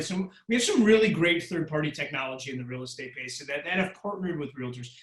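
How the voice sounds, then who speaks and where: A man's high-pitched voice at a very fast pace amid noticeable background noise. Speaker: real estate tech speaker. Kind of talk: webinar Q&A. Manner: animated.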